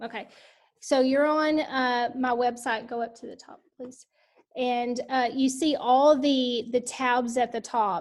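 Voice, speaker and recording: A woman with a high pitch and a Texan accent, at a fairly slow pace with monotone, flat intonation, over a quiet background. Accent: Texas country. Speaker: education leadership coach. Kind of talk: online book study session. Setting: video call.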